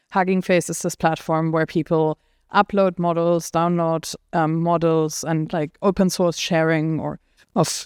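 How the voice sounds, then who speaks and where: The delivery is monotone and flat at a fairly slow pace. The background is quiet, and the sound is dry and close with no echo. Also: woman. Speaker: AI policy lead and researcher. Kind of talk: panel discussion.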